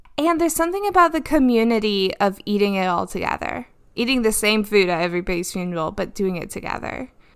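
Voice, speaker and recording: Lively intonation marks an ordinary speaking voice at a fairly quick pace. The recording is very clean, the background silent. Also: woman. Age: 30s. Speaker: podcast co-host, pastor's wife. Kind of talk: casual chat.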